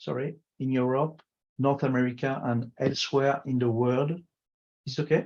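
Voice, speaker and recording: Speaking with a non-native accent, a man talks in a flat monotone with long, frequent pauses. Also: medium pitch for a man, moderate pace. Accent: foreign. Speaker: food industry consultant. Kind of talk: conference presentation. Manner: halting.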